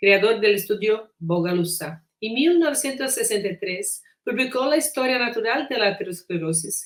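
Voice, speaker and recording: A woman's fairly high voice with a Portuguese accent, lively intonation, a moderate pace and hardly any pauses. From Brazil. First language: Portuguese (speaking Spanish). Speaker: physician and researcher. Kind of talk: lecture. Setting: recorded conference talk.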